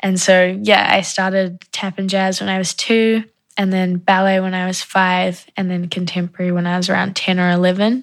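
Speaking with a New Zealand accent on a very clean recording with a silent background, a woman uses a medium pitch and monotone, flat intonation at a moderate pace with hardly any pauses. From New Zealand, Wellington (moved from South Africa at 8). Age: 20s. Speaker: dance student. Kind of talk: personal interview testimony.

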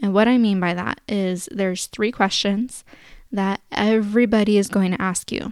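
A woman with a West Coast accent at medium pitch, with fairly even intonation and a moderate pace, on a very clean recording with a silent background. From Sacramento, California. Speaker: podcast host, former service volunteer. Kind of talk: solo podcast Q&A. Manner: casual, filler-heavy.

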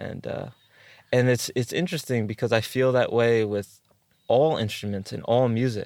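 A man with an American accent speaks at a moderate pace in a normal speaking voice. His pitch is medium, with ordinary variation. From US East Coast, New York area. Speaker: organic farmer and music producer. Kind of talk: casual interview conversation.

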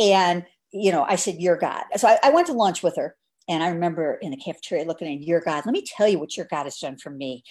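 With a fairly quick pace and very wide pitch swings, the woman talks over a quiet background. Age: 70s. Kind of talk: casual chat. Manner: animated.

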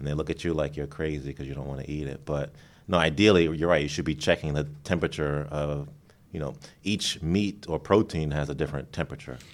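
A man's very deep, low voice with vocal fry, very fast pace and fairly even intonation, on a very clean recording with a silent background. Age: 40s. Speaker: physician podcast co-host. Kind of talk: casual chat. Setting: hospital recording studio.

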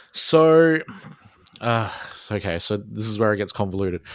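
A man speaks with an Australian accent at a moderate pace. The sound is dry and close with no echo, on a very clean recording with a silent background. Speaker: solo musician and artist. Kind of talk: casual interview chat. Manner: hesitant, filler-heavy.

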